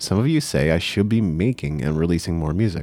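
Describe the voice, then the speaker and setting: A man's dark, mellow voice moves at a fairly quick pace with lively intonation. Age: 30s. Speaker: podcast host and music entrepreneur. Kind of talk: solo podcast monologue.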